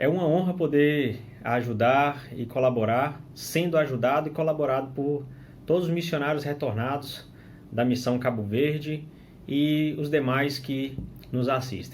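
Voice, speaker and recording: Audible room echo surrounds a man whose fairly high voice moves at a fairly slow pace with fairly even intonation. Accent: Minas Gerais. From Brazil, northern Minas Gerais. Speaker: religious teacher, returned missionary. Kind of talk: scripture study commentary. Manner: hesitant with fillers and restarts.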